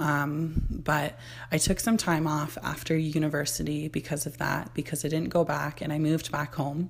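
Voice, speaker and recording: A woman with a Canadian accent, very deep and low pitch, vocal fry, monotone flat intonation and a moderate pace. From Ontario, Canada. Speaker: podcast host. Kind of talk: casual monologue.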